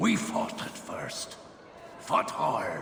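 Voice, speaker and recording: Clear background noise and a slight echo surround the recording. In it, a man uses a put-on character voice. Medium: machinima. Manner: blunt, coarse, jocular.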